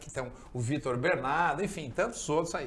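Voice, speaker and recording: Recorded with audible room echo, a man speaks at a fairly high pitch with ordinary pitch variation. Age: 60s. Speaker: surfer. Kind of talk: talk show interview.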